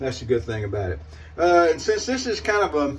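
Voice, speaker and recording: In a Southern US accent, a man speaks at a fairly quick pace with very wide pitch swings. His voice is somewhat breathy. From US South. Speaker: shaving video creator. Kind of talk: casual product demo monologue. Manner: rambling, hesitant with fillers.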